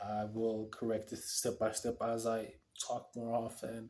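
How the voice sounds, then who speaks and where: In a very clean recording with a silent background, a man with an Ethiopian accent speaks very slowly at a medium pitch. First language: Amharic. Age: 20s. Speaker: vlogger. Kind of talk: video diary monologue. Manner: halting; casual.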